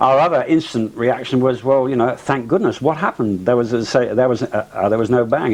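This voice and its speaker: A man with an English accent talks at a fairly quick pace with hardly any pauses, his pitch medium and its variation ordinary. Noticeable background noise runs underneath. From England. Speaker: pilot. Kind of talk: interview testimony. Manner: halting, many fillers.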